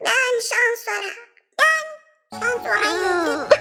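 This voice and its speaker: A squeaky, cartoonish character voice moves along at a fairly slow pace. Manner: fretful, singsong.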